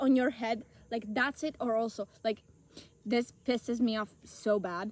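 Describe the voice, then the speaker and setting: Speaking with an Italian accent is a woman. She keeps a moderate pace. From Italy. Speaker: podcast co-host. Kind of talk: casual chat. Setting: outdoors in a forest.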